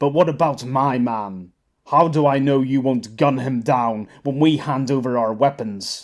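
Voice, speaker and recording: At medium pitch, a man puts on a character voice. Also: moderate pace. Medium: read story. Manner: cool, measured, unflustered.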